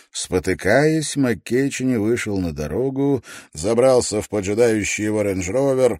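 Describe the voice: Ordinary pitch variation throughout plain reading aloud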